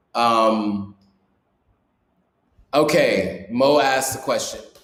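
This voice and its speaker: The pitch moves with ordinary variation. Room echo can be heard. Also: man. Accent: American. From US. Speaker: YouTuber and vlogger. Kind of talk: live stream Q&A. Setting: live stream. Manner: casual, with many fillers.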